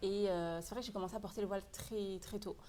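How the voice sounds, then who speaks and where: A woman speaks at a fairly quick pace in an ordinary speaking voice, her pitch medium and her intonation fairly even. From France, Paris region. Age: 20s. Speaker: e-commerce entrepreneur. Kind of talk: casual interview.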